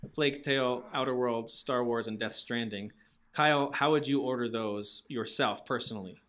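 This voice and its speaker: A man speaks at medium pitch and a moderate pace with fairly even intonation and a plain, everyday voice. The recording is very clean, with a silent background. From Massachusetts. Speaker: gaming podcast host. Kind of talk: casual chat.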